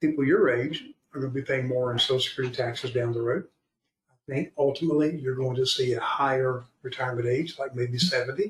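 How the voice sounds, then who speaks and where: Here a man with an American accent speaks at a very fast pace, his voice somewhat breathy. His pitch sits in the medium range, with fairly even intonation. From Florida. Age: 70s. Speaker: retirement planner. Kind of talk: podcast interview.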